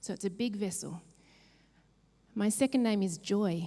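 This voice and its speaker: At a moderate pace, a woman speaks at a medium pitch with ordinary pitch variation and a dark, mellow, somewhat breathy tone. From New Zealand. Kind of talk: keynote talk.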